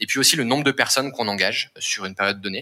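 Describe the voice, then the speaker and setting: The man's voice has a bright, sharp tone. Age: 20s. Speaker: climate impact manager at a startup. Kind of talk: interview.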